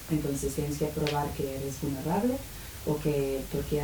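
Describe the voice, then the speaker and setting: A woman with an English accent at a moderate pace, amid noticeable background noise and audible room echo. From United Kingdom. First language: English (speaking Spanish). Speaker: lawyer and activist. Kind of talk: panel talk. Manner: halting.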